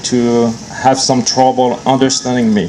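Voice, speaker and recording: A man speaks in a French accent at a moderate pace and medium pitch. Noticeable background noise is present. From France. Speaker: long-distance swimmer. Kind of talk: public speech at outdoor event.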